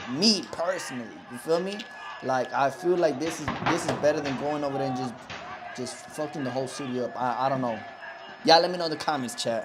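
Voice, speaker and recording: A man's very fast, fairly high-pitched speech with lively intonation, audible room echo and noticeable background noise. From Mexico. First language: Spanish. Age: 20s. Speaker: live streamer. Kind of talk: live stream reaction, casual chat. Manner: animated.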